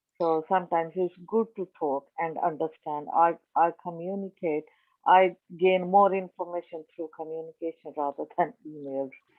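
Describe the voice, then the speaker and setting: Her fairly low voice moves at a moderate pace with fairly even intonation as this woman speaks. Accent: non-native. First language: not English. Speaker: community project organiser, workshop attendee. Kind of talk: question in online workshop. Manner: halting.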